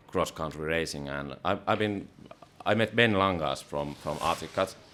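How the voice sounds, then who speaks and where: A man's very deep, low voice in a Finnish accent, at a moderate pace, with ordinary pitch variation. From Finland, remote rural area. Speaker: podcast host. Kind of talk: podcast interview.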